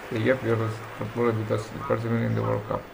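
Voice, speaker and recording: Speech comes at a very fast pace amid noticeable background noise and audible room echo. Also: man. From Indonesia. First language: Indonesian. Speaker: game streamer. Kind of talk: casual chat. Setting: live stream.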